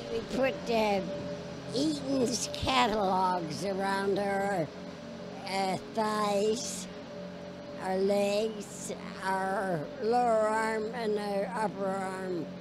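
A woman speaks at a very slow pace with long, frequent pauses and ordinary pitch variation. Music plays in the background. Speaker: interviewee. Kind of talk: interview answer. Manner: frail, halting elderly voice with pauses. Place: stadium. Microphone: handheld.

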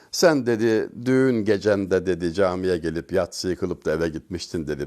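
A man with a very deep, low pitch and a dark, mellow tone speaks at a moderate pace with lively intonation. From Turkey, Denizli (Çameli). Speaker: religious speaker. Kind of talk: religious talk.

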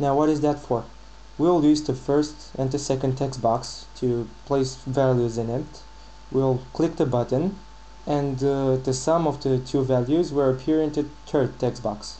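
Amid noticeable background noise, a man with a European accent talks fairly slowly at a medium pitch with fairly even intonation. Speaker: programming tutorial maker. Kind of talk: screen-recorded software tutorial.

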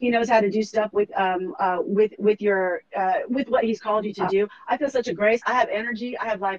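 A woman talks in an animated, passionate tone at a fairly quick pace with hardly any pauses. The sound is dry and close with no echo, though noticeable background noise comes through. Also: ordinary pitch variation. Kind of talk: faith interview ending in prayer.

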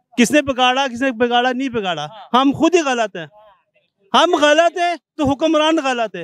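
Extremely high-pitched for a man, his voice has lively intonation and a dry sound with no echo. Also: fairly slow pace. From Pakistan. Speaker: member of the public interviewed on the street. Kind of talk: heated debate. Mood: complaining, argumentative. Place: market. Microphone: handheld.

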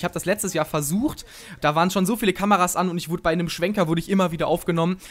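Very fast speech with ordinary pitch variation. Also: man. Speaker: gaming commentator. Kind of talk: casual talk to camera.

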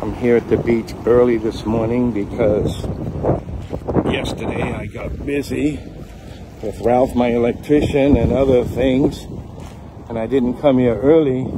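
Against noticeable background noise, a man talks at a fairly slow pace with fairly even intonation and long, frequent pauses, the sound dry with no echo. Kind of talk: casual vlog chat. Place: beach. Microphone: phone near.

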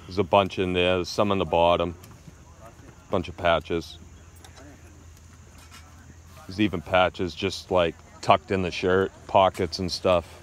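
A man speaks with a very deep, low pitch and monotone, flat intonation, leaving long, frequent pauses. The sound is dry with no echo. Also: moderate pace. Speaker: flea market seller. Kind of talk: casual haggling chat. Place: market. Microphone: phone near.

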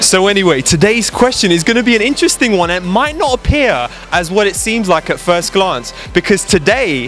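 A man's high-pitched voice at a moderate pace, lively in intonation, dry with no echo, faint music in the background. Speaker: dating coach. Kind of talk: casual talk to camera. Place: street. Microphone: handheld.

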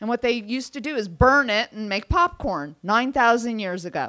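Over a quiet background, a woman speaks at a fairly slow pace and fairly high pitch with lively intonation. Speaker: event organizer. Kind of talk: event introduction. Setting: stage with audience. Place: hall. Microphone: handheld.

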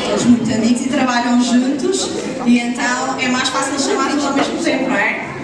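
Moderate pace, audible room echo, and loud background noise. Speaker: event moderator. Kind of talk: stage presentation. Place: hall.

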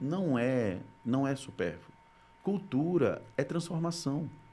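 This man talks at a very slow pace, his fairly high voice carried by lively intonation. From Brazil, Rio Grande do Norte (Natal); Rio Grande do Norte, Brazil. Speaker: content creator, former TV journalist. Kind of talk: casual interview. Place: studio. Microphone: studio mic.

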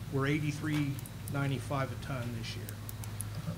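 A man is heard speaking with noticeable background noise around him. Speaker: city staff member reporting. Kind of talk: answer at public meeting. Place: hall. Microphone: podium.

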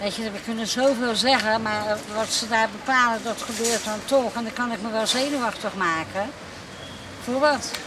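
The speech moves at a moderate pace with a dry sound and no echo. Noticeable background noise runs underneath. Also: woman. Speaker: local resident. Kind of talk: vox pop street interview. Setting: outdoors on the street. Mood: resigned, mildly skeptical. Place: street.

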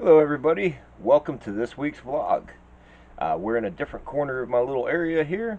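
The speaker is a man with a dark, mellow tone. He goes along at a fairly quick pace. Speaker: artist vlogger. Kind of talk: casual vlog chat. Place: home room.

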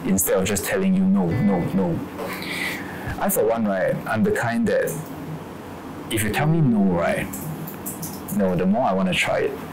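A man talks at a moderate pace with long, frequent pauses while music plays in the background. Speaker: actor in the film. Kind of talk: interview answer. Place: office.

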